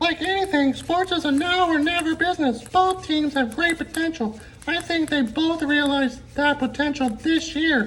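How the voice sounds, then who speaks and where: A high-pitched cartoonish character voice against clear background noise. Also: moderate pace. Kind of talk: sports talk show banter. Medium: puppet.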